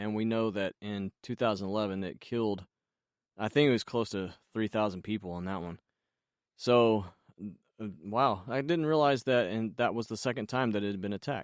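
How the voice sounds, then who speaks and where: A man with a plain, everyday voice speaks at a moderate pace and fairly low pitch, with ordinary pitch variation, in a dry, close sound with no echo on a very clean recording with a silent background. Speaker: voice actor. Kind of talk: podcast host talk. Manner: casual, conversational.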